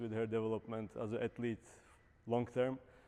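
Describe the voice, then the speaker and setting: A man with a Czech accent, medium pitch and a dark, mellow tone, at a moderate pace. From Czech Republic. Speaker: Paralympic javelin thrower and coach. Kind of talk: lecture. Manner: hesitant, many fillers.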